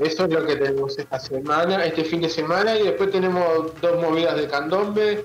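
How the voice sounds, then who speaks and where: A man with a fairly high voice talks at a fairly quick pace with hardly any pauses. His loudness stays very even, his pitch varies in an ordinary way, and there is noticeable background noise. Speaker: carnival news correspondent. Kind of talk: radio segment, events roundup. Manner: halting, filler words.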